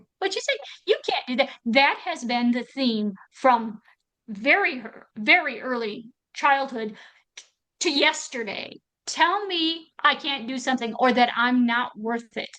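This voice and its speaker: A woman speaks in a raised, projected voice with an American accent. Her high pitch and bright, sharp tone come at a fairly slow pace. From US Midwest, northern Wisconsin. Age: 60s. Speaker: Paralympic athlete and army veteran. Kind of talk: interview testimony. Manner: animated.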